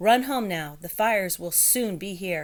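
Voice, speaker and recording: Using a put-on character voice, a woman talks at a moderate pace and medium pitch with lively intonation. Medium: read story. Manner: brisk.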